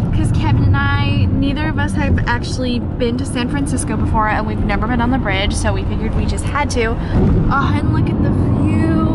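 A woman at a moderate pace, hardly any pauses, dry sound with no echo, loud background noise. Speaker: travel vlogger. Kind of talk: casual vlog chat. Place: car. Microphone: phone near.

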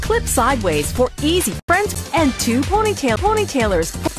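A woman speaks at a moderate pace in an upbeat tone. Music plays in the background. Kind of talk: TV commercial read.

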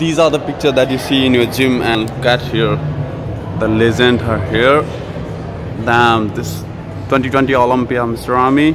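Music plays in the background as a man speaks at a moderate pace, leaving long, frequent pauses. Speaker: fitness vlogger. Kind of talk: casual vlog chat. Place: gym. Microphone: phone near.

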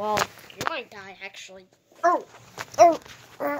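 Very wide pitch swings run through this cartoonish character voice, pitched fairly high. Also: moderate pace. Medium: puppet show. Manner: shouty, boastful, childish.

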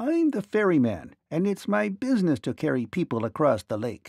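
In a put-on character voice, a man speaks at a fairly high pitch with very wide pitch swings, vocal fry, a slightly mellow tone and a slightly husky edge. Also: moderate pace, very clean recording, silent background.

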